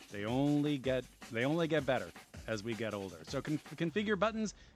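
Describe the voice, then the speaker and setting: Music plays behind a man speaking at medium pitch. His pitch swings very widely. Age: 40s. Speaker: gaming streamer. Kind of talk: reading aloud; casual stream chat. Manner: rambling, conversational with fillers.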